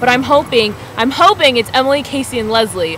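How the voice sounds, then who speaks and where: A woman talks at a fairly quick pace in a dry recording with no echo and light background noise. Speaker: vlogger. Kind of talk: casual vlog chat. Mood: grateful, bubbly. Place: home room. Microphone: webcam.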